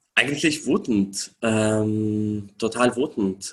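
With an Arabic accent, a man speaks at a very slow pace. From Syria. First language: Arabic (speaking German). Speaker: refugee rights activist. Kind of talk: interview. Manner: hesitant, many filler sounds.

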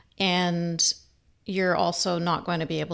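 Speaking with a Canadian accent and vocal fry, the voice moves at a fairly slow pace in a very clean recording with a silent background. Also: woman. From Canada. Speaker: human rights activist and author. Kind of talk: interview.

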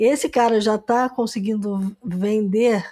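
A woman's fairly high, dark and mellow voice at a fairly slow pace, with fairly even intonation, on a very clean recording with a silent background. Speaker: podcast host. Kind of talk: casual interview chat.

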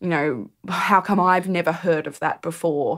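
In an Australian accent, a woman speaks at a fairly low pitch on a very clean recording with a silent background. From regional New South Wales, Australia (Dubbo). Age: 20s. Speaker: storyteller. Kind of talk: interview.

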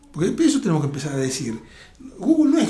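Audible room echo and noticeable background noise surround a man speaking with a fairly high voice. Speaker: futurist and tech entrepreneur. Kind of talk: interview.

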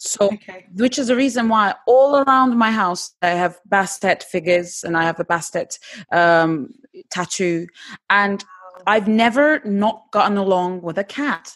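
With a Turkish accent, a woman speaks at a fairly slow pace in a medium pitch, her intonation lively. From Turkey, Istanbul. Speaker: actress and TV presenter. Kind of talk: casual chat.

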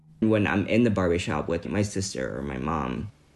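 A man talks at a fairly quick pace. His pitch is very deep and low, with vocal fry. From Vietnam. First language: Vietnamese. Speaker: architectural designer. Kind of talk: personal story.

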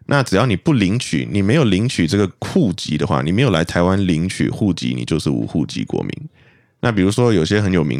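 A man with a very deep, low pitch and vocal fry speaks at a fairly quick pace with very wide pitch swings on a very clean recording with a silent background. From Malaysia. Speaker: podcast guest. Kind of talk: casual chat.

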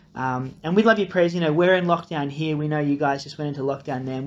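This man speaks with an Australian accent. His pitch is fairly high, with ordinary variation. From Australia (grew up partly in Nepal). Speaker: incoming church pastor. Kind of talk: recorded video introduction.

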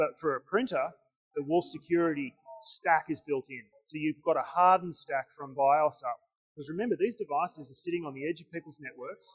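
In an Australian accent, a man talks at a fairly quick pace with a fairly high pitch, the sound dry and close with no echo. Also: ordinary pitch variation. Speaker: tech vendor representative. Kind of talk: conference booth interview. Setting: conference vendor hall.

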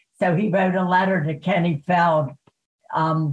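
Speaking slowly, though not very slowly, a woman with an American accent uses a fairly low, somewhat breathy voice. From Baltimore, US. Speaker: retired PR consultant. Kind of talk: interview.

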